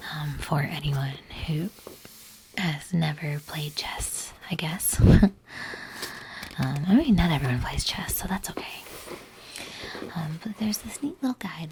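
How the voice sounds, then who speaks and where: The speech comes at a fairly slow pace, with long, frequent pauses. Noticeable background noise is present. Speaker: YouTube collector and cosplayer. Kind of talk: soft-spoken ASMR-style unboxing talk to camera. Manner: soft, toned-down, quiet.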